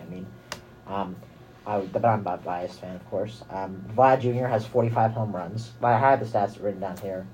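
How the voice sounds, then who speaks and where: Over music in the background, a man with an American accent speaks with fairly even intonation. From US West Coast, San Francisco Bay Area. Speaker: college radio co-host. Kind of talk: casual sports talk. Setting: studio.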